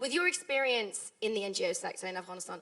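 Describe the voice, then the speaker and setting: Lively in intonation, a woman with a British accent speaks at a fairly high pitch over noticeable background noise. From United Kingdom. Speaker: panel moderator, journalist. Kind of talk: panel discussion moderation.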